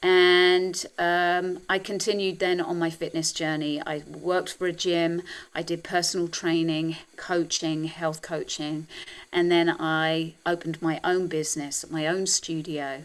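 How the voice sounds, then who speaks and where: A fairly slow, monotone, flat delivery from a woman with a British accent and fairly low pitch. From England. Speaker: health and wellness coach. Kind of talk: interview conversation.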